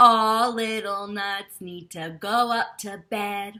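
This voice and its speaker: A woman's booming, put-on character voice at medium pitch, delivered at a very slow pace. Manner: commanding.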